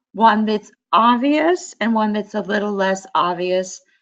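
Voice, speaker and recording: A woman speaks at a fairly slow pace and a medium pitch, with ordinary pitch variation against a quiet background. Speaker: fashion instructor. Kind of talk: presentation.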